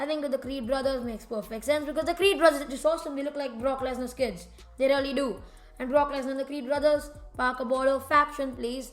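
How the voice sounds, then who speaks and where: Over music in the background, a woman with a high-pitched voice speaks at a very fast pace. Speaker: wrestling commentator YouTuber. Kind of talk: casual opinion monologue. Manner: loud, yelling at times; animated.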